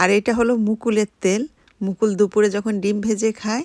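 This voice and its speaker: A woman speaks in an ordinary speaking voice at medium pitch with fairly even intonation. The sound is dry and close with no echo, on a very clean recording with a silent background. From Bangladesh, Khulna. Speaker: vlogger. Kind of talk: vlog narration.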